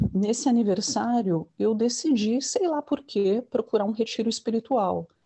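A woman speaks at a fairly slow pace in a somewhat breathy voice. Her pitch is fairly high with ordinary variation, and her loudness stays very even. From São Paulo, Brazil. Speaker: yoga teacher, former journalist. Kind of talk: interview.

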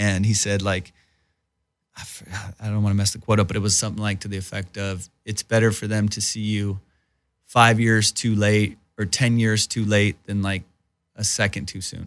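In a Southern California accent, a man speaks at a moderate pace. His intonation is monotone and flat. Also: fairly low pitch for a man. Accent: general American (Southern California). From Iran, raised in Southern California. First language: Persian (Farsi). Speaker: stand-up comedian and actor. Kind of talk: casual interview chat. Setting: studio. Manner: casual, informal, profane.

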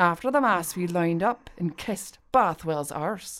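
An unremarkable speaking voice moves at a fairly slow pace. The intonation is lively. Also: woman. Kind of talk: period play, dramatic reading. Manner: pleading, frightened, trembling in character.

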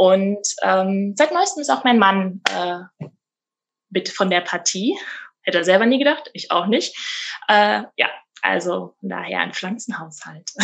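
With a very slow pace and long, frequent pauses, a woman's medium-pitched voice carries lively intonation. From Rhineland-Palatinate, Germany. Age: 30s. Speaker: midwife. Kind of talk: interview conversation. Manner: frequent hesitation fillers.

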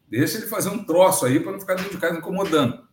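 In a room with audible echo, a man talks in a high voice. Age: 60s. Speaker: agronomy consultant and professor. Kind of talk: interview storytelling.

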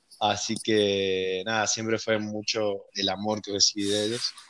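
A man's voice in a monotone, flat intonation. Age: 20s. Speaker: programmer. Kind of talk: casual chat. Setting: remote recording from home.

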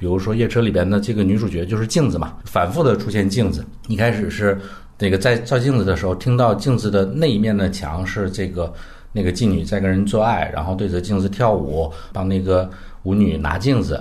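Amid audible room echo, a man speaks at a fairly quick pace in a fairly low pitch with ordinary pitch variation. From northern Heilongjiang, north of Harbin, China. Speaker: film critic. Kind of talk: casual film discussion.

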